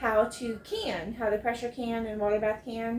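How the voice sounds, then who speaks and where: A woman with an American accent speaks at a high pitch and a moderate pace. Noticeable background noise can be heard. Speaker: homesteading vlogger. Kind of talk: casual chat. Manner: careful, enunciated on camera; casual, many fillers.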